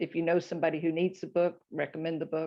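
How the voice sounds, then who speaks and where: A woman's fairly low, monotone voice with flat intonation at a fairly quick pace. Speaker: podcast guest, author.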